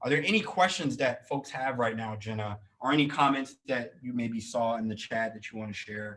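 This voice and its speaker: With hardly any pauses, a man talks at medium pitch with ordinary pitch variation. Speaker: career coach. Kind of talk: webinar workshop. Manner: fast.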